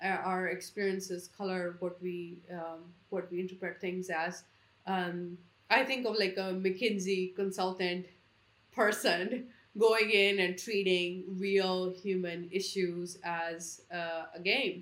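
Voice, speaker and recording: At a very slow pace, a woman speaks in a medium pitch with monotone, flat intonation. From India. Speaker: economist, think tank founder. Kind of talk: interview conversation.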